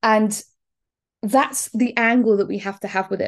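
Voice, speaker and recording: Against a quiet background, a woman with a southern English accent talks at a medium pitch and moderate pace. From southern England, Bournemouth. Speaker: fitness and weight-loss business coach. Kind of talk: solo podcast monologue. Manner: casual, many filler words.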